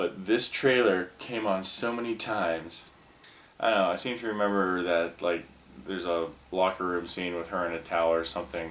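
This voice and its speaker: A man speaks at a moderate pace with a very deep, low pitch. His intonation is fairly even, with noticeable background noise behind him. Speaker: former video store clerk. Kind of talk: casual talk to camera. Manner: rambling, casual.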